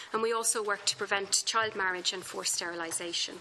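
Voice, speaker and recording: The voice carries an Irish accent. It moves at a fairly quick pace. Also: woman. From Ireland. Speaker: human rights lawyer, expert witness. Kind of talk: formal testimony to parliamentary committee. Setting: parliamentary committee hearing. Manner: formal.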